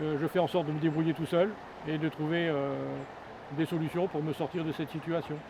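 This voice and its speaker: A man talks at a fairly quick pace and fairly high pitch, with monotone, flat intonation and long, frequent pauses. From northern France, Pas-de-Calais. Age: 60s. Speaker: homeless man. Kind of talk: interview testimony. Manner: halting, many hesitations.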